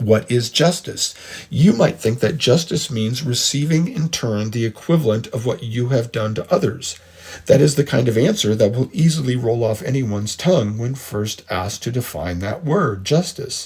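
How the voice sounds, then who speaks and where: Somewhat breathy and medium in pitch, a man with an American accent talks with lively intonation. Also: moderate pace. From United States. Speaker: podcast host, history and philosophy lecturer. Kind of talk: lecture. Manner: measured, explanatory.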